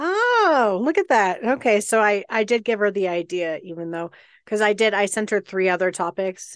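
In a plain, everyday voice, a woman of medium pitch speaks at a moderate pace with an American accent and ordinary pitch variation, the sound dry and close with no echo over a quiet background. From Colorado. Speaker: podcast co-host. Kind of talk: casual chat. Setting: video call.

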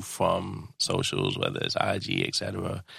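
A man speaks with a New York accent. His tone is bright and sharp. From New York, Brooklyn. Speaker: podcast host. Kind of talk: casual interview. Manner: casual slangy.

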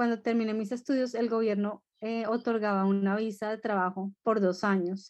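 A fairly high-pitched woman at a moderate pace against a quiet background. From Colombia. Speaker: education consultancy founder. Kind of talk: interview. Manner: hesitant, many fillers.

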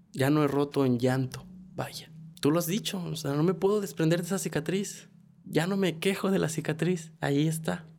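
A man's fairly high-pitched, unremarkable speaking voice at a moderate pace, with ordinary pitch variation. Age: 20s. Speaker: podcast co-host. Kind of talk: personal testimony; casual chat.

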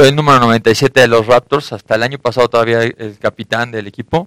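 A man with a plain, everyday voice, medium pitch and fairly even intonation, in a dry, close recording with no echo. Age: 30s. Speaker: American football player. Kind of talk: radio interview.

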